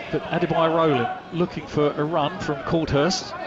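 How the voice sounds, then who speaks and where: Noticeable background noise surrounds a man speaking in an animated tone at a high pitch. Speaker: match commentator. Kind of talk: live radio-style football commentary. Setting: stadium commentary position at the ground. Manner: animated, fast, rising excitement on goals; fluent play-by-play delivery with a breathless rhythm.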